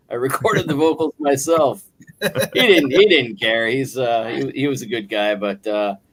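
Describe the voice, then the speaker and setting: In a Buffalo accent, a man talks at a moderate pace and medium pitch with lively intonation. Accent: Buffalo-area American English. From western New York, near Buffalo. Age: 50s. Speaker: guest singer and guitarist. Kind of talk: casual chat. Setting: live online stream, from work on a break.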